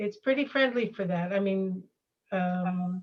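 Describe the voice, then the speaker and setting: A woman with a plain, everyday voice speaks at a fairly slow pace and medium pitch. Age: 60s. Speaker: workshop participant. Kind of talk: casual chat.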